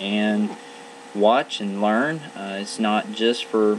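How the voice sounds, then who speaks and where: Noticeable background noise sits under a man speaking with an American accent. His fairly low voice moves at a very slow pace. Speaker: land surveyor. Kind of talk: educational podcast narration. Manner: halting, many fillers.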